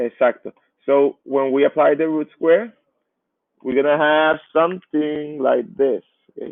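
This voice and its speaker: A man with a Spanish accent and a fairly high pitch talks with fairly even intonation. His pace is fairly slow, with long, frequent pauses. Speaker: math teacher. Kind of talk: lecture. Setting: live online class.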